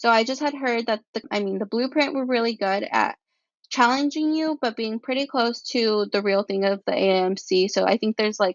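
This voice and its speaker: The speaker talks at a moderate pace with ordinary pitch variation and a Spanish accent. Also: woman, fairly high pitch for a woman. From California central coast. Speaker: pre-med student. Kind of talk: podcast interview.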